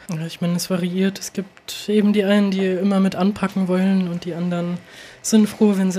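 Her intonation is monotone and flat. The woman talks at a fairly quick pace. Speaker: concert booker. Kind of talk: casual chat.

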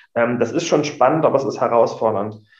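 A man speaks with ordinary pitch variation, and room echo can be heard around him. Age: 30s. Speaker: emergency doctor and union official. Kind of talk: interview.

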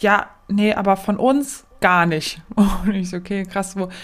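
The speaker is a woman with a medium pitch. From Aachen area, Germany. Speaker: nurse, podcast co-host. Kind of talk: casual chat.

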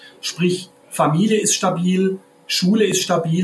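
There is noticeable background noise behind a man speaking. His pitch is high and his intonation fairly even. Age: 50s. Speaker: crime prevention officer. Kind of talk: podcast interview. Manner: halting, many repetitions and fillers.

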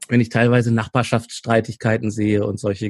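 Dry and close with no echo, a man's medium-pitched voice moves at a fairly quick pace in a monotone, flat intonation. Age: 40s. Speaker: conflict coach and trainer. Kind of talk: interview.

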